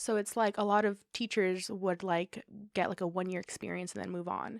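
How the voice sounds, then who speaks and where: In a very clean recording with a silent background, a woman with an American accent speaks at a medium pitch and a moderate pace, the sound dry and close with no echo. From South San Francisco, California. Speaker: TV news anchor and reporter. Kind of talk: podcast interview answer. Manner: upbeat.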